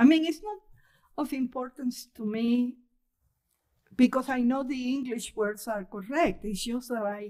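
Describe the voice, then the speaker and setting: A woman with a strong Spanish accent speaks fairly slowly in a high-pitched, dark, mellow tone, with long, frequent pauses. Her loudness swings widely against a quiet background. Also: ordinary pitch variation. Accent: heavy Spanish accent in English. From Cuba. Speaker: poet. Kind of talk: casual chat. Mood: warm, amused. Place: hall. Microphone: podium.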